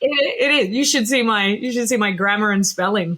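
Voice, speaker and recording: A woman speaks at a fairly quick pace in a medium pitch, with ordinary pitch variation and noticeable background noise. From Australia. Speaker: education and social design expert. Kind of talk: interview.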